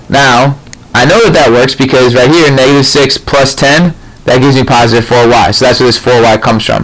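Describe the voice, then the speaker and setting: The voice moves at a fairly quick pace with fairly even intonation and very even loudness. Noticeable background noise runs underneath. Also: man, medium pitch for a man. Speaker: math tutor. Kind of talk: tutorial. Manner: fast.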